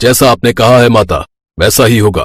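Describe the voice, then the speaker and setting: A man does a put-on character voice at medium pitch and a moderate pace. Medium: read story.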